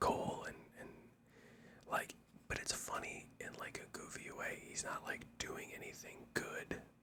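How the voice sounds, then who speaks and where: The speaker whispers at a fairly slow pace. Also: man. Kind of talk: ASMR wrestling show review, whispered talk to camera. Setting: home-recorded microphone, mono audio. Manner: whispered.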